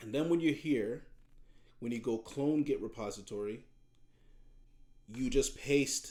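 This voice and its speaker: A man with a medium pitch and a dark, mellow tone speaks at a moderate pace. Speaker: high school computer science teacher. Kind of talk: screen-recorded tutorial. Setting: video recording with webcam. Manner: halting, frequent repetitions.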